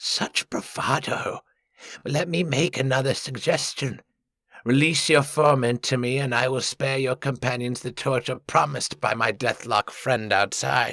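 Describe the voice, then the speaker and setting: A man uses a put-on character voice at medium pitch and a moderate pace. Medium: read story. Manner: smooth, formal, condescending.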